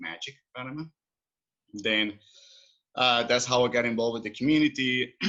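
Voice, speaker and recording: With a Colombian accent, a man talks at a fairly quick pace in a medium pitch with a bright, sharp tone. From Colombia, Cali. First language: Spanish. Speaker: expat services entrepreneur. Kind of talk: podcast interview. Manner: halting.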